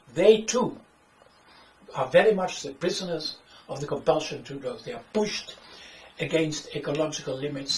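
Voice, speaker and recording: A man with a Dutch accent speaks at a fairly high pitch and a moderate pace, with ordinary pitch variation, noticeable background noise and audible room echo. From Netherlands. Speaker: author and economics critic. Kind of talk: lecture. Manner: halting.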